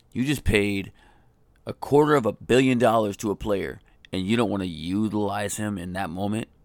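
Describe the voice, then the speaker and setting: Speaking with an American accent, a man uses a fairly low pitch, ordinary pitch variation and an animated tone at a moderate pace. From Colorado. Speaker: sports podcast host. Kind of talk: solo sports rant.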